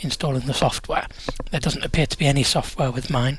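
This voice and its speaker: Noticeable background noise accompanies a man whose voice is fairly high. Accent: British. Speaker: tech reviewer. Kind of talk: product review unboxing. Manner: casual, with frequent fillers.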